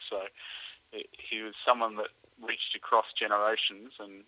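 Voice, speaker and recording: Here a man talks with an Australian accent. He keeps a moderate pace. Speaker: motorsport journalist. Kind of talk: radio interview.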